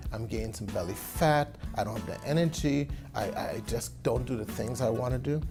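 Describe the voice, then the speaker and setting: Music plays behind the speaker. He is a man talking at a moderate pace. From Trinidad and Tobago. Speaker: physician. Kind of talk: interview answer.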